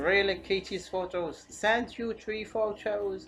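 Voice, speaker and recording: Against noticeable background noise, a woman with a non-native accent and medium pitch speaks at a very slow pace. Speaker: tech tutorial youtuber. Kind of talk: screen-recorded software tutorial. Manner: halting, with repetitions and fillers.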